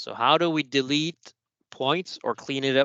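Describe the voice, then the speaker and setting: A man with a French accent speaks at a fairly high pitch in a bright, sharp tone. The sound is dry and close with no echo, over a quiet background. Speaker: software trainer. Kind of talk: tutorial. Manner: casual, conversational.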